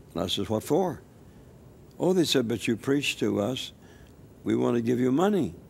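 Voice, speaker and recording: A man with an American accent, medium pitch, very wide pitch swings and vocal fry, at a moderate pace with long, frequent pauses. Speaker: elderly missionary evangelist. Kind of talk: interview testimony. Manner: halting, with repetitions.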